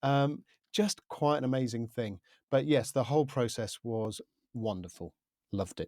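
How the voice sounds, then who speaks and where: A man with a southern English accent speaks at a medium pitch with lively intonation, recorded very cleanly against a silent background with a dry, close sound and no echo. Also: moderate pace. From UK. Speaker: media composer and podcaster. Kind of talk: interview. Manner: halting, many fillers.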